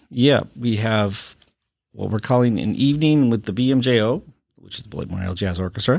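Talking at a fairly quick pace, a man with an Upper Midwest accent uses ordinary pitch variation. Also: medium pitch for a man. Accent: Upper Midwest American. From Wisconsin (Watertown). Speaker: high school band director. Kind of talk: casual interview.

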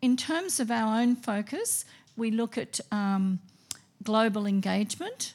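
Somewhat breathy, fairly high-pitched woman's voice at a very slow pace. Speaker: school principal. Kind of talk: open evening presentation. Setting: school hall with audience.

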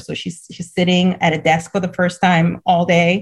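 A woman speaks in a somewhat breathy voice, recorded very cleanly with a silent background. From Cameroon. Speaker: head of a school for refugee girls. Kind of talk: interview conversation.

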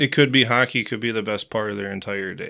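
Here a man speaks in a Wisconsin accent at a fairly quick pace, his tone bright and sharp. The recording is very clean, with a silent background. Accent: Upper Midwest (Wisconsin). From central Wisconsin (Marshfield). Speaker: youth hockey coach. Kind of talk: interview.

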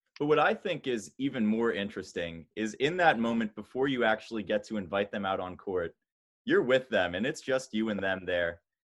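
Here is a man with an unremarkable speaking voice, pitched fairly low. He talks at a fairly quick pace with lively intonation. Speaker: podcast host. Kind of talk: casual interview chat.

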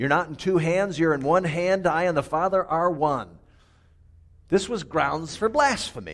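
A man talks at a fairly slow pace with a high pitch. His pitch varies in an ordinary way. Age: 50s. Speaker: pastor. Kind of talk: sermon. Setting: church.

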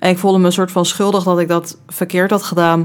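The speaker is a woman. She talks in a fairly low register. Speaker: student podcast host. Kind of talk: casual chat.

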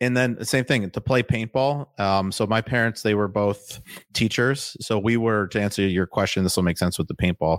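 In a plain, everyday voice, a man talks at a moderate pace and fairly low pitch with ordinary pitch variation and very even loudness, the sound dry and close with no echo on a very clean recording with a silent background. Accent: American. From Wisconsin (Waukesha, near Milwaukee). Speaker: real estate fund founder. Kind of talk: interview.

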